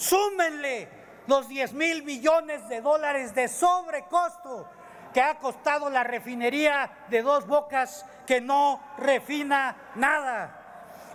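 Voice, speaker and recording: A man's extremely high-pitched voice at a very slow pace, with ordinary pitch variation. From Mexico. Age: 60s. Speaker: legislator. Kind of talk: parliamentary speech. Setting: legislative chamber podium. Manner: formal.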